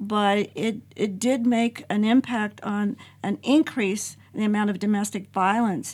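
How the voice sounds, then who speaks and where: At a fairly slow pace, a somewhat breathy voice speaks with fairly even intonation on a very clean recording with a silent background. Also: woman. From Mexican-American, US. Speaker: nonprofit founder, domestic violence survivor. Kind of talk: casual group discussion. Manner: hesitant, with fillers.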